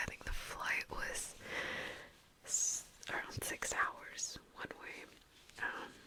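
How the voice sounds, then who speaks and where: Noticeable background noise runs beneath a woman whispering at a very slow pace. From Vancouver, Canada. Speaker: ASMR content creator. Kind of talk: ASMR whisper ramble to camera. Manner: whispered, soft-spoken.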